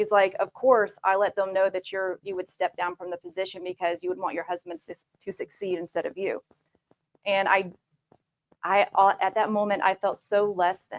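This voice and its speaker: In a Southern US accent, a woman speaks at a medium pitch and moderate pace with fairly even intonation, the sound dry and close with no echo. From US South, Georgia. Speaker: tech manager, panelist. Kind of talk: panel discussion.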